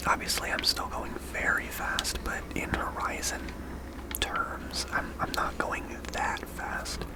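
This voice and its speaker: Noticeable background noise beneath a very slow whisper. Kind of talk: ASMR gameplay commentary, casual talk while playing. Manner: whispered, soft-spoken.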